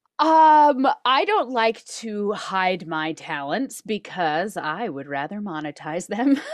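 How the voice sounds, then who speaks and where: A woman's medium-pitched voice with an American accent, very slow and almost pauseless, with very wide pitch swings. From Reno, Nevada. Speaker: podcast co-host. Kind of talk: casual chat.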